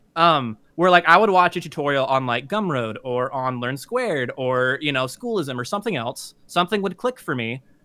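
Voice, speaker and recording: A man's bright, sharp voice with very wide pitch swings, dry with no echo, over a quiet background. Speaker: artist and YouTuber. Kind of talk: casual interview. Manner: fast talker. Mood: candid, self-deprecating, animated. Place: home room.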